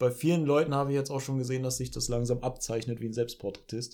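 A man of medium pitch with a dark, mellow tone and fairly even intonation is heard in a very clean recording with a silent background. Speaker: podcast co-host. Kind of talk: casual chat.

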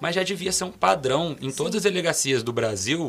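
Fairly quick speech with vocal fry. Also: man. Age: 20s. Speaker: criminal defense lawyer. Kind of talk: casual interview chat.

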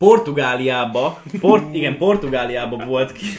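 A man speaks at a fairly slow pace. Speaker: young riding stable owner and equestrian athlete. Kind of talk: casual chat. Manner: halting.

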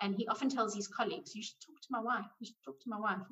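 A woman's fairly high voice has ordinary pitch variation and a somewhat breathy quality. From South Africa. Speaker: money coach. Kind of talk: interview.

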